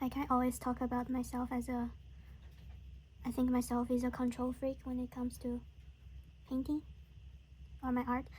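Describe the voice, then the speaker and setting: A woman with a Chinese accent at a high pitch, monotone and flat in intonation, at a moderate pace with long, frequent pauses. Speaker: watercolor artist. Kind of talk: casual painting tutorial chat. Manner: halting, many fillers.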